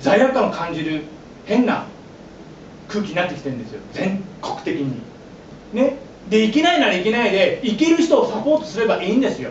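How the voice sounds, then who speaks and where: A man with a high-pitched voice talks at a fairly quick pace, his pitch swinging very widely. He takes long, frequent pauses, with audible room echo and light background noise around him. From Japan. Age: 40s. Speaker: pastor and former yakuza; pastor. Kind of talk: sermon. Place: church. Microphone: camera far.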